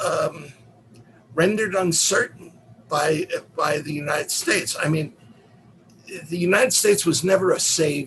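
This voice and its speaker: A man speaks with a New York accent. There is noticeable background noise. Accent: New York American. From US, New York City (Manhattan). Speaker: professor. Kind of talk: lecture.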